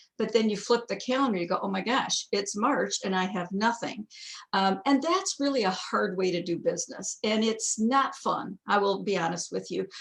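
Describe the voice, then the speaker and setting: A woman speaks at a medium pitch in a somewhat breathy voice, with ordinary pitch variation. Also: moderate pace. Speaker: direct sales executive presenter. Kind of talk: training webinar presentation. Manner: animated.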